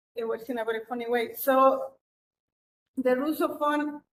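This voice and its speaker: A woman with a non-native accent, a high pitch and fairly even intonation, at a fairly slow pace. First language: not English. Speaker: researcher presenting project. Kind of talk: presentation. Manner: halting, many repetitions.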